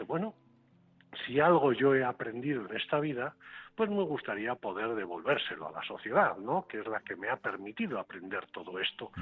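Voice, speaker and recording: A man at medium pitch with very wide pitch swings. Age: 50s. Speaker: business coach and author, former mayor. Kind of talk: radio interview. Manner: halting, with fillers.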